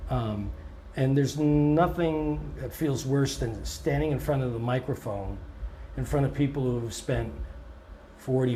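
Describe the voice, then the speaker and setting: Audible room echo is heard on the recording. A man's words come at a fairly slow pace. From Canada. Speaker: blues musician. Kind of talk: interview. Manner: hesitant, many fillers.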